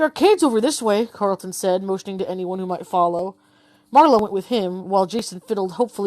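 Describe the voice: Reading aloud, plain and simple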